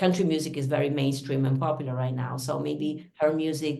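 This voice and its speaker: With noticeable background noise, a woman talks at a fairly quick pace in an Italian accent, her very deep, low pitch held in a monotone, flat intonation. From Italy. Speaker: singer-songwriter. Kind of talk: interview conversation.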